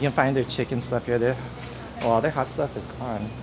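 Flat, monotone intonation over music in the background. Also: man. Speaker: travel vlogger. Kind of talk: casual vlog chat. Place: shop.

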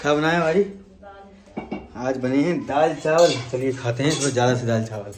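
A man talks at a moderate pace in a medium pitch. His tone is slightly mellow, with ordinary pitch variation.

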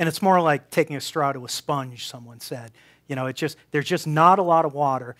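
Against a quiet background, a man with an American accent speaks at a fairly quick pace. His pitch is fairly high, with ordinary variation. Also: big swings in loudness. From Boston. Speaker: professor and research institute director; professor giving public talk. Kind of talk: public science talk. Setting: stage with audience in a brewery. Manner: halting, many repeated words. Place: hall.

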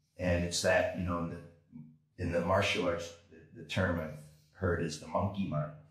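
In an American accent, the speaker keeps a monotone, flat intonation at a moderate pace with long, frequent pauses. The background is quiet, though audible room echo remains. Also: man, very deep, low pitch for a man. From California, San Diego (born New York). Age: 50s. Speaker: kettlebell and martial arts instructor; kettlebell coach guest. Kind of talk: interview, casual conversation. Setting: video call. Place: gym. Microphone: camera far.

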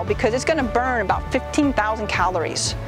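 Clear music plays behind a woman as she talks. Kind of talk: interview answer. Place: forest. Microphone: lapel.

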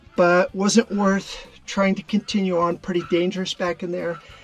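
Faint music plays in the background as the speaker goes at a moderate pace. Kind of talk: casual exploration narration. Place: tunnel cave. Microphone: phone near.

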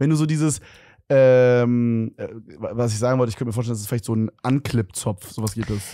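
Over a quiet background, a man talks at a fairly quick pace with fairly even intonation and a dark, mellow tone, the sound dry with no echo. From Germany. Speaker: podcast co-host. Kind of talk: casual chat. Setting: studio. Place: studio. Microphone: handheld.

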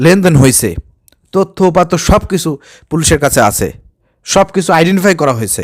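The voice has lively intonation, with a dry, close sound and no echo. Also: man, high pitch for a man. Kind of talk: commentary video. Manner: animated.

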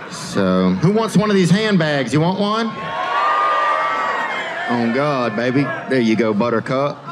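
Over loud background noise, a man with an American accent speaks at a very slow pace with hardly any pauses. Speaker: stand-up comedian. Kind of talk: stand-up comedy set. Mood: laid-back, deadpan, playful. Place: stage. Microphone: handheld.

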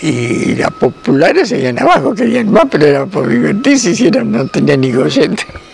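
Over light background noise, a man with a high pitch speaks at a fairly slow pace, his pitch swinging very widely. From Argentina. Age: 80s+. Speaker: grandfather telling stories. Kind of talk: storytelling of personal anecdotes. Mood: cheerful, amused. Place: garden.

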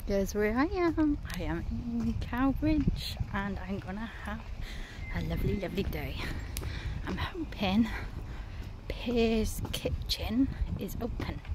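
Long, frequent pauses break up a woman's very slow speech. The sound is dry with no echo, with noticeable background noise. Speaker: vlogger. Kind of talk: casual vlog chat. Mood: cheerful, excited. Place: street. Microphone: phone near.

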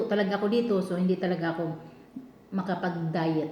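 A woman's voice comes through noticeable background noise and an audible echo from the room. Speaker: overseas domestic worker vlogger. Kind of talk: casual mukbang vlog. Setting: kitchen at employer's home.

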